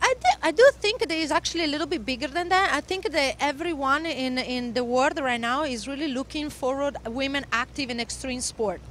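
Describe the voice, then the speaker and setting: With noticeable background noise, the speaker talks at a fairly quick pace in an Italian accent. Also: woman, high pitch for a woman, ordinary pitch variation. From Italy. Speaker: motocross instructor and former pro racer. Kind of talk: interview. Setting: at a race venue. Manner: halting.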